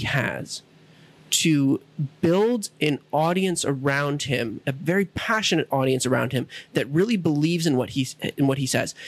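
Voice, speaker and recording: A man with an ordinary speaking voice talks at a fairly slow pace, with lively intonation and very even loudness. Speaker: podcast host. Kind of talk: casual chat.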